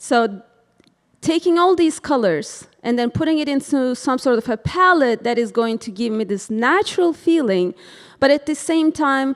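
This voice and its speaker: A woman speaks in a Turkish accent with a high pitch. Her voice moves in very wide pitch swings. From Turkey. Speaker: interior designer. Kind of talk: presentation. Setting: board meeting with microphone. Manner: casual, hesitant with fillers.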